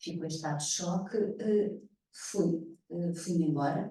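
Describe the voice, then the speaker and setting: A woman's dark, mellow voice at a very slow pace, with audible room echo. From Mozambique. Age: 60s. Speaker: actress and theatre director. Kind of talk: panel conversation. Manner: halting.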